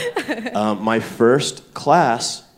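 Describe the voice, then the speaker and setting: A man with an American accent speaks at a medium pitch, with audible room echo. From US South, Stone Mountain, Georgia. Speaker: comedian and writer. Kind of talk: live podcast banter on stage. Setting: stage with live audience.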